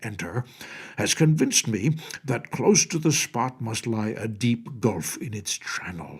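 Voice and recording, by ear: Natural-voiced reading aloud.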